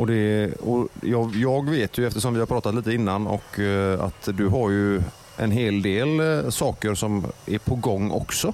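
A man's fairly low voice, with ordinary pitch variation, very even loudness and hardly any pauses, over noticeable background noise. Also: fairly slow pace. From Gothenburg. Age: 40s. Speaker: radio host. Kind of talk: casual chat.

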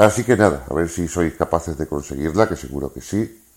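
A man talks at a very deep, low pitch with ordinary pitch variation. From Seville, southern Spain. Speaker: listener contributor. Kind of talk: recorded message.

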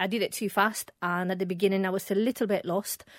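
At a fairly quick pace, a woman with a plain, everyday voice speaks at a medium pitch with fairly even intonation. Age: 40s. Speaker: perfumer and small business founder. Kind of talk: casual interview.

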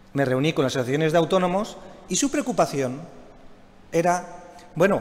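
A man talks at a fairly quick pace. His voice is high in pitch. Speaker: regional government minister, economist. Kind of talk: closing speech. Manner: formal.

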